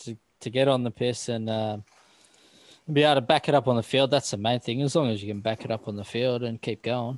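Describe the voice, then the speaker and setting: Recorded very cleanly with a silent background and a dry, close sound with no echo, a man speaks fairly quickly in an Australian accent. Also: medium pitch for a man. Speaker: podcast host. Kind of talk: casual chat.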